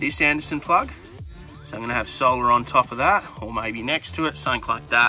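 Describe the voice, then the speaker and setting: A man speaks in a dry sound with no echo. Faint music plays in the background. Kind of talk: casual vlog chat. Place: car. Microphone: phone near.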